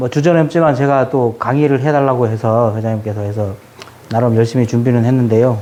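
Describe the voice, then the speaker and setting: At a moderate pace, a man with a medium-pitched voice speaks over noticeable background noise. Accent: Jeju. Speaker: Buddhist youth association education officer giving a lecture. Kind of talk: lecture to new members.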